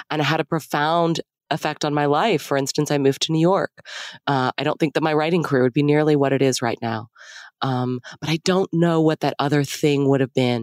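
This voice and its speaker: In a very clean, dry recording with a silent background and no echo, a woman speaks with an American accent at a fairly quick pace. Her pitch is very deep and low, and her intonation is fairly even. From Texas. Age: 40s. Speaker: author and podcaster. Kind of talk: casual chat.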